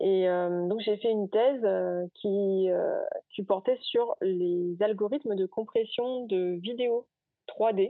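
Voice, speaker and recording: The woman's medium-pitched voice shows ordinary pitch variation as she speaks very slowly. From Guadeloupe. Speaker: R&D innovation consultant. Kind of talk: interview. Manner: hesitant, many fillers.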